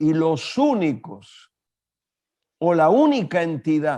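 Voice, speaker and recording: The speaker is a man whose pitch runs fairly high. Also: quiet background. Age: 70s. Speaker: pastor and international speaker. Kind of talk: interview.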